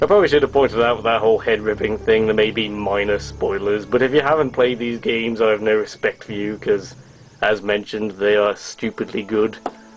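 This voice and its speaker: A man with an English accent at a fairly quick pace, fairly low in pitch with ordinary pitch variation, amid noticeable background noise. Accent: English, posh. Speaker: toy reviewer, YouTuber. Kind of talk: product review, casual.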